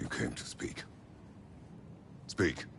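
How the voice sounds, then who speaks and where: The speaker uses a put-on character voice. Background noise is clear. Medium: video game. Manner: terse, gruff.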